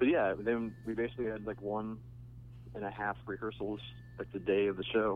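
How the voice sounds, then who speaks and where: A fairly quick pace broken by long, frequent pauses, with very wide pitch swings. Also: man. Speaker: musician guest. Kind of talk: casual phone interview. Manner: laid-back, wry.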